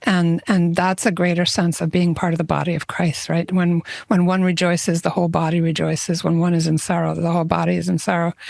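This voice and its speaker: Against noticeable background noise, a woman with a fairly low pitch speaks at a very fast pace in a monotone, flat intonation, with very even loudness and hardly any pauses. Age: 60s. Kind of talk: casual chat.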